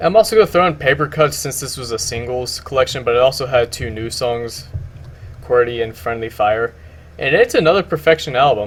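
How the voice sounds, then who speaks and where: A man talks at medium pitch and a moderate pace. His intonation is lively, with vocal fry. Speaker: music YouTuber. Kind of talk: casual video commentary. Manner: halting, repeats words.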